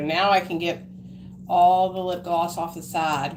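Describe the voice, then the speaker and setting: A woman speaks with an American accent over noticeable background noise. Room echo is audible. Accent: hillbilly country. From Arkansas, US South. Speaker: live streamer. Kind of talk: casual chat. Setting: live stream. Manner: animated.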